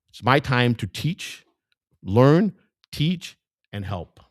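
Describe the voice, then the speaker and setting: A man with a Chicago accent, animated in tone and with vocal fry, his pitch swinging very widely, in a dry, close recording with no echo. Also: very clean recording, silent background. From US Midwest, Chicago. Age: 60s. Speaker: independent political candidate. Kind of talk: campaign speech. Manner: halting, repetitive.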